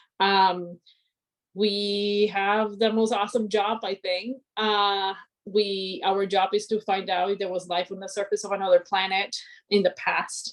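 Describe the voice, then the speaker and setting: A woman with a Spanish accent speaks at a medium pitch with monotone, flat intonation. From Colombia (Cali). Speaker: aerospace engineer. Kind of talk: inspirational talk.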